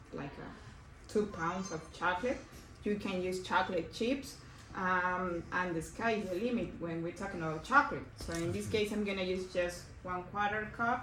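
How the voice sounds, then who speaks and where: Noticeable background noise and audible room echo surround a woman with a Mexican accent whose pitch varies in an ordinary way. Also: medium pitch for a woman, moderate pace. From Mexico. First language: Spanish. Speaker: cooking instructor. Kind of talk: cooking class demonstration. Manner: hesitant, with fillers.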